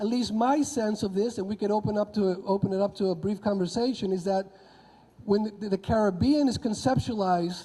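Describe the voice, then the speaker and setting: A man's high-pitched voice with a Spanish accent, at a moderate pace. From Honduras. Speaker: history professor. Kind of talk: conference talk. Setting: convention audience.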